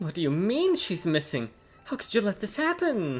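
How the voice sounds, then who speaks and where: A man puts on a whiny character voice, high-pitched with very wide pitch swings. He talks at a moderate pace with music in the background. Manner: distressed, demanding.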